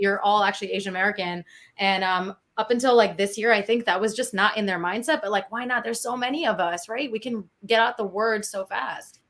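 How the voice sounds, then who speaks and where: A woman talks at a fairly quick pace in a plain, everyday voice, her medium pitch showing ordinary variation. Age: 20s. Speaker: panel guest, singer. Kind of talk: panel discussion. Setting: live virtual event.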